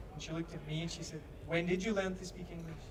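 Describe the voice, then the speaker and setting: Over noticeable background noise and audible room echo, a man with a high voice speaks at a fairly quick pace. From Scotland. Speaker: stand-up comedian. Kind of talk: stand-up. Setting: stage with audience.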